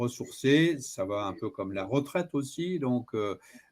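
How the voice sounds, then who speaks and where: His tone is dark and mellow, yet this man speaks at a fairly high pitch, very slowly, with lively intonation. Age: 60s. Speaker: personal development coach. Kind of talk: interview. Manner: hesitant, many filler sounds.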